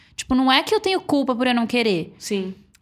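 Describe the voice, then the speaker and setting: A woman talks at a very fast pace in a high pitch. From Florianópolis, southern Brazil. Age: 30s. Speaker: digital influencer. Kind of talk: casual chat. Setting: home recording.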